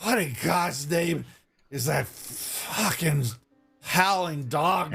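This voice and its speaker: In a raspy, put-on character voice at middle pitch, someone speaks at a very slow pace over faint background music. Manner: irritated, gruff.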